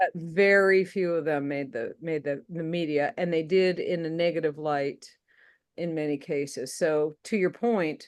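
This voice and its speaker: A woman with an American accent speaks at a fairly slow pace in a plain, everyday voice. Her pitch is fairly low with ordinary variation, over a quiet background. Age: 60s. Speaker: podcast co-host. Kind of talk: casual political discussion.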